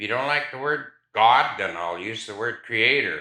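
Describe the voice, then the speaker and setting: A man speaks with a bright, sharp tone. There is audible echo in the room. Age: old. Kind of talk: interview storytelling.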